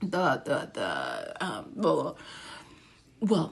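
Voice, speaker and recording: Over noticeable background noise, the voice carries an American accent. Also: woman. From Ghana. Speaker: mental health commentator. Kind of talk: commentary video. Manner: animated.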